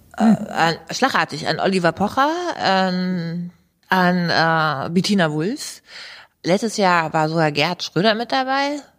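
In a very clean recording with a silent background, a woman with a fairly low pitch uses lively intonation at a very slow pace. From Hannover area, Germany. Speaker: professional soldier and author. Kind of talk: interview.

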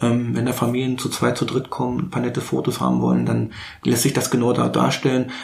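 There is noticeable background noise in this clip. Over it, a man speaks fairly quickly. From Berlin, Germany. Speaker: wedding and school photographer. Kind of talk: casual chat.

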